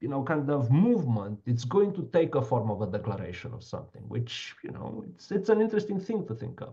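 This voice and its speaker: Over audible room echo, a man speaks at a fairly quick pace with a medium pitch, very wide pitch swings, vocal fry and big swings in loudness. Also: hardly any pauses. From Romania. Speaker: law professor. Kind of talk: lecture Q&A discussion. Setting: online video call. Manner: halting, many fillers.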